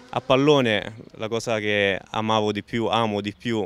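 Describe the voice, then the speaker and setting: A man talks with a fairly low pitch. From Rome area, Italy. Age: 20s. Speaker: amputee footballer and author. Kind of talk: interview testimony.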